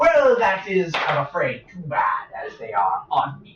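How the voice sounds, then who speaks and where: The speech comes at a fairly slow pace in a put-on character voice. Its pitch stays in the middle range. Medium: actual play. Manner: rambling, fussy, old-fashioned.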